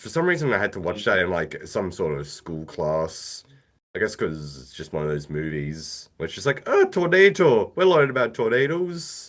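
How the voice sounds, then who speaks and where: Loudness shifts in big swings throughout. The man speaking holds a moderate pace. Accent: Australian. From Australia. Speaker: podcast co-host. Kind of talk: casual chat.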